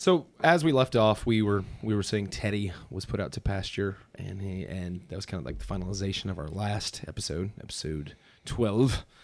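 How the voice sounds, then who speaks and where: In an American accent, a man with a plain, everyday voice and a fairly low pitch talks at a moderate pace with lively intonation. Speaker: museum podcast co-host. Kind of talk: casual chat. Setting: basement studio. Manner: jokey, laughs often.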